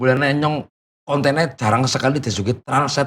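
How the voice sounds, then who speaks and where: This man speaks with a strong Banyumas accent. His pitch is fairly high and his pace fairly quick. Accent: strong Banyumasan (Ngapak) Javanese. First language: Banyumasan Javanese (speaking Indonesian). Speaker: content creator. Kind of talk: casual interview. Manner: casual, halting.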